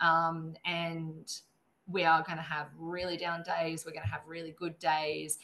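Fairly low-pitched and flat in intonation, a woman speaks slowly-ish with an Australian accent. Her tone is bright and sharp, and her pace fairly slow. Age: 30s. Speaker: wildlife vet nurse and conservationist. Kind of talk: interview.

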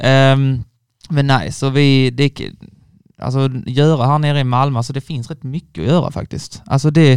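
At a moderate pace, a man talks at medium pitch. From Skåne, village near Ängelholm. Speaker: university student. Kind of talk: casual chat. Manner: halting, repetitive starts.

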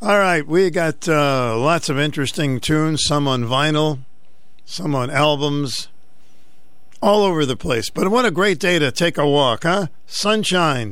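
At a fairly slow pace, a man with a plain, everyday voice speaks at a fairly high pitch, using lively intonation and very even loudness. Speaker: radio talk show host. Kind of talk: call-in talk radio. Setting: studio. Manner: jovial, chatty.

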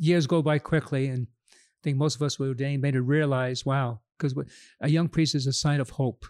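A man with an American accent speaks at a fairly quick pace in a plain, everyday voice, his pitch fairly high and his intonation fairly even, on a very clean recording with a silent background and a dry, close sound with no echo. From New York, Queens. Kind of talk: casual interview. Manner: laughs often.

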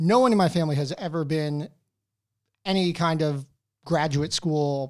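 In an ordinary speaking voice, a man with an American accent talks at a moderate pace on a very clean recording with a silent background. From New Jersey, US. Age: 30s. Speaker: doctor and movie podcaster. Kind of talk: casual interview chat. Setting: studio.

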